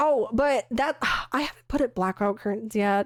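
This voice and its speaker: A woman speaks at a moderate pace in a dry, close sound with no echo. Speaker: streamer. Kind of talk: casual live stream chat. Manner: casual, filler-heavy.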